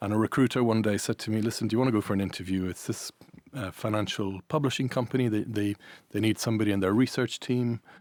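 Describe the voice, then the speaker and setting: Over a very clean recording with a silent background, a man speaks at a fairly low pitch and a very fast pace. His intonation is fairly even, and the sound is dry and close with no echo. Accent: Irish. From Ireland and Italy. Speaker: events business managing director. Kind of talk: podcast interview. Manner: hesitant, many fillers.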